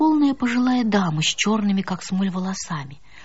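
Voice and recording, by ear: A natural voice, reading aloud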